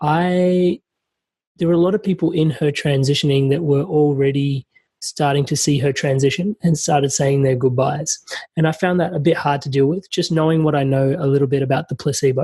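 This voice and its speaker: A man's fairly high, somewhat breathy voice carries a dark, mellow tone and fairly even intonation. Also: fairly quick pace. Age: young. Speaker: podcast host. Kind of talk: podcast interview.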